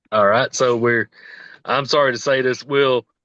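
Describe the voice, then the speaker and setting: A man with a Southern US accent at medium pitch and a moderate pace. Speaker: podcast host. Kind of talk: casual chat.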